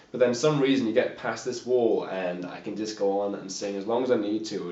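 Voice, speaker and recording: Noticeable background noise behind a man's medium-pitched voice with ordinary pitch variation. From England (Yorkshire-born, raised in Norfolk). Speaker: musician. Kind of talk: casual interview. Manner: casual, halting.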